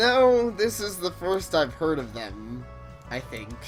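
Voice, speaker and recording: A woman speaks slowly in a put-on character voice. Clear music plays in the background. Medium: game stream. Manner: eager, theatrical.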